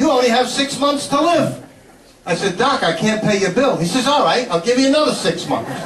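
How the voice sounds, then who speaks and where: A man with a New York accent speaks at an extremely high pitch with lively intonation. There is audible room echo and noticeable background noise. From Brooklyn, New York. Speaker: comedian. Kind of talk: stand-up. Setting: stage with audience.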